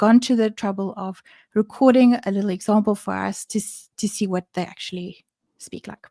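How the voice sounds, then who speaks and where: With a non-native accent, a woman speaks in a fairly high, dark, mellow voice and fairly even intonation. The recording is very clean, with a silent background. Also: dry, close sound with no echo. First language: not English. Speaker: developer advocate. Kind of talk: livestream presentation. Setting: livestream.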